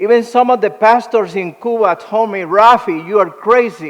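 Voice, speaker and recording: A man speaks at a fairly slow pace. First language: Spanish. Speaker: ministry director. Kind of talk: motivational presentation. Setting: luncheon event with audience.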